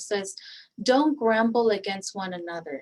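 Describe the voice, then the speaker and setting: A woman talks at a fairly slow pace in a Spanish accent. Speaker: guest speaker on faith and resilience. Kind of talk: online presentation. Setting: online session with chat. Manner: halting, many fillers and repeats.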